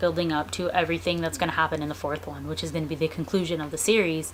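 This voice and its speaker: There is noticeable background noise behind this woman. Her pitch is fairly low and her intonation fairly even. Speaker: book reviewer. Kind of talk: casual video review. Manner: casual, hesitant fillers; fast.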